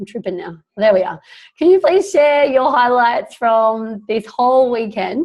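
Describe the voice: At a fairly slow pace, the speaker uses lively intonation and a slightly mellow tone. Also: woman, fairly high pitch for a woman.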